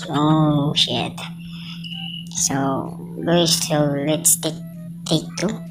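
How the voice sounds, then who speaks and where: A woman's very deep, low pitch in monotone, flat intonation, at a very slow pace with long, frequent pauses, plus audible room echo and music in the background. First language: Filipino. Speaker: welding trainer and vlogger. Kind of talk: casual vlog. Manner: halting.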